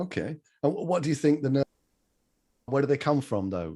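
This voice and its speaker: Dry and close with no echo, a man's somewhat breathy, dark, mellow voice moves at a moderate pace with lively intonation. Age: 30s. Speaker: public speaking trainer. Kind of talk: online workshop.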